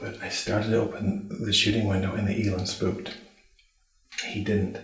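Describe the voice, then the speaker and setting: Someone whispers at a moderate pace with audible room echo. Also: man. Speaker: bowhunter. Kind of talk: field commentary after hunt. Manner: whispering.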